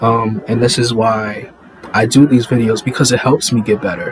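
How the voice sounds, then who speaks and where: The speaker moves at a fairly slow pace with fairly even intonation. Noticeable background noise sits behind the voice. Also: man. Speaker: faith vlogger. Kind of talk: inspirational monologue. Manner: halting, with pauses.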